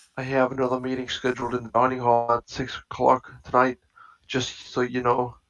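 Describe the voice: Over quiet surroundings comes plain reading aloud.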